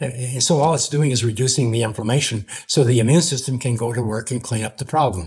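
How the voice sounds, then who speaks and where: Somewhat breathy, a man rushes along at a very fast pace with hardly any pauses. His pitch is medium, with ordinary variation. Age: 80s+. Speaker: grounding pioneer and entrepreneur. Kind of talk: interview. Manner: halting.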